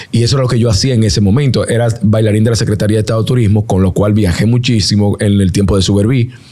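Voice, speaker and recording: With a Dominican accent, a man with a fairly low pitch talks at a very fast pace with hardly any pauses, very even loudness and fairly even intonation over noticeable background noise. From Dominican Republic, Santo Domingo area (Herrera). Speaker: singer and NBA commentator. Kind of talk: interview.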